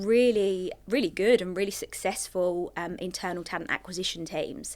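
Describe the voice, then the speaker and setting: This voice has an English accent and ordinary pitch variation. The pace is moderate. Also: woman. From England. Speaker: recruiter. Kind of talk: podcast interview.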